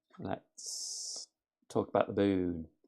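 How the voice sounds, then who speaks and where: A man performs a put-on character voice. The voice is raspy. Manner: detached.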